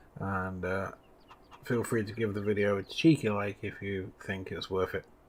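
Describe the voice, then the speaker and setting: With an English accent, a man speaks quietly at fairly low pitch with fairly even intonation. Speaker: gaming streamer. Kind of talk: live stream commentary. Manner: quiet, low voice.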